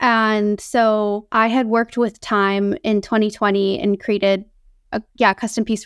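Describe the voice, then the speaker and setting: A woman's ordinary speaking voice in an American accent, fairly high-pitched, at a moderate pace and very even loudness, on a very clean recording with a silent background. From US Northeast, central Massachusetts. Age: 30s. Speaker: artist and science communicator. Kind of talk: interview.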